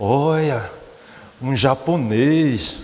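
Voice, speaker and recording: A man with a northeastern Brazilian accent speaks with ordinary pitch variation over noticeable background noise. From Brazilian Northeast, Olinda, Pernambuco. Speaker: religious speaker, church leader. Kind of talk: morning talk to congregation. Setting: mission headquarters hall with audience. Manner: hesitant, many repeated fillers.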